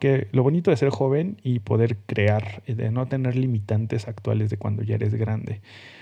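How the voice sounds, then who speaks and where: A moderately paced male voice. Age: 30s. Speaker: podcast host, designer. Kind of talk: solo podcast monologue. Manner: casual, hesitant with fillers.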